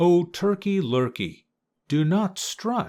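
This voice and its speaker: In a put-on character voice, a man speaks very slowly and high in pitch on a very clean recording with a silent background. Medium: read story.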